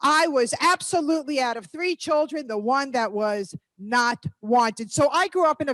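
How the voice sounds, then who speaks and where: Animated and fairly slow, a woman with an American accent swings her pitch very widely, recorded dry and close with no echo. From New York. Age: 60s. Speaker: motivational speaker. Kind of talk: motivational talk. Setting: stage with live and online audience.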